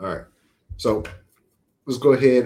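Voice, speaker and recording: At medium pitch and a fairly quick pace, a man speaks in a dark, mellow tone with fairly even intonation. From Louisiana. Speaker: sports podcast moderator. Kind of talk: casual chat.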